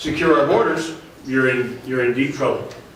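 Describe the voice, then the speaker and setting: A man speaks at a fairly high pitch with fairly even intonation. Noticeable background noise and audible room echo are present. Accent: American. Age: 60s. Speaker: state politician and Vietnam veteran. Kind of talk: panel discussion talk. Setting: public forum panel. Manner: many filler words and restarts.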